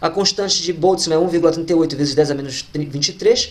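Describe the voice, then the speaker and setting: Very fast speech comes through against noticeable background noise. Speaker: physics teacher. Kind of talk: lecture.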